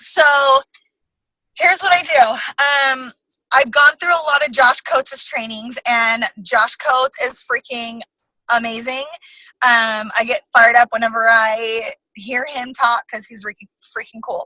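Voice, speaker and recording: A high-pitched woman's voice, bright and sharp, at a fairly slow pace with long, frequent pauses, big swings in loudness, and a dry, close sound with no echo. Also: ordinary pitch variation. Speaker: network marketing coach sharing social media tips. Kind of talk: casual training talk on a team call. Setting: online team call. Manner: energetic.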